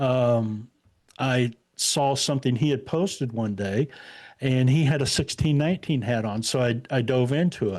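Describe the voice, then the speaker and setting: With a Midwestern US accent, a man speaks at a moderate pace and medium pitch with ordinary pitch variation on a very clean recording with a silent background. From Indiana. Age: 60s. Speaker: podcaster and activist guest. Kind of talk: casual interview chat. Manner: halting, many fillers.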